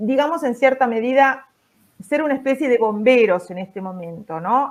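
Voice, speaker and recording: Ordinary pitch variation marks a woman's speech, delivered at a moderate pace. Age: 60s. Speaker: psychologist. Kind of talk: interview. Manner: halting, many fillers.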